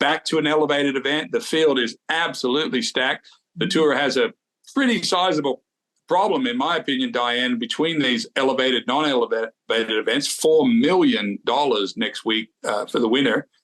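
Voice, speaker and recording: Using a plain, everyday voice, a man with a fairly high pitch talks at a moderate pace, keeping very even loudness and lively intonation. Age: 60s. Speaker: golf show co-host. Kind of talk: casual chat.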